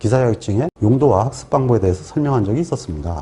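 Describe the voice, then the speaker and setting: With a dark, mellow tone and a somewhat breathy quality, a man's voice moves through very wide pitch swings. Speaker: exam prep instructor. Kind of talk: lecture. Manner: formal.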